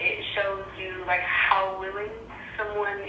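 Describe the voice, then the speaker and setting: A woman speaks at a medium pitch in a monotone, flat delivery over noticeable background noise. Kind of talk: voice message.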